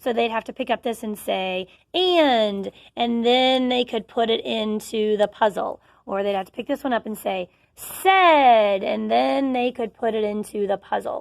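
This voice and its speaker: A woman with an unremarkable speaking voice talks at a fairly slow pace, fairly high in pitch, with lively intonation and big swings in loudness. The sound is dry and close with no echo, a very clean recording over a silent background. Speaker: teacher. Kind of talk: tutorial.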